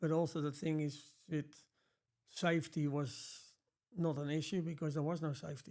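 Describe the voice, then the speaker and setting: A man with a strong Dutch accent talks at a moderate pace with a fairly high pitch. His tone is dark and mellow, his intonation monotone and flat. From Netherlands. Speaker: glazing business owner. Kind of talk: interview.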